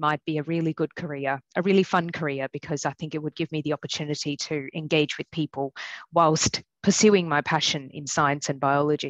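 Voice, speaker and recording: With a strong Australian accent, a woman talks at a fairly quick pace in a dry, close sound with no echo and a quiet background. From Australia, country New South Wales. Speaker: general practitioner. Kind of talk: personal testimony talk. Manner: hesitant, many fillers.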